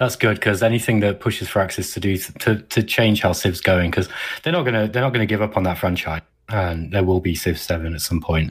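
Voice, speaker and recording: On a very clean recording with a silent background, a man with a fairly low, somewhat breathy voice speaks with ordinary pitch variation. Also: fairly quick pace. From Derby, central England. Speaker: podcast co-host. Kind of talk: casual chat.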